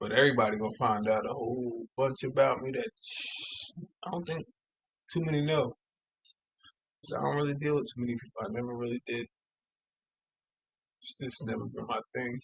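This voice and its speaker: A man's medium-pitched, somewhat breathy voice at a fairly quick pace, broken by long, frequent pauses. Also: ordinary pitch variation, dry, close sound with no echo. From Long Island, New York (Suffolk County). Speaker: podcaster. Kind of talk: personal storytelling monologue. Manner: casual, halting.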